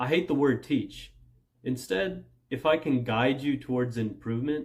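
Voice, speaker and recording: A man speaks at a moderate pace with a medium pitch and ordinary pitch variation. His voice is somewhat breathy. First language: Punjabi. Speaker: language learning youtuber. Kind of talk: direct-to-camera vlog. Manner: casual, conversational.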